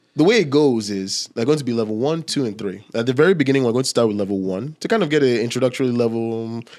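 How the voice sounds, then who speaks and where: A man's animated, medium-pitched voice at a very fast pace with hardly any pauses, on a very clean recording with a silent background. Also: ordinary pitch variation. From Nigeria. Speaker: podcast host. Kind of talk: podcast interview.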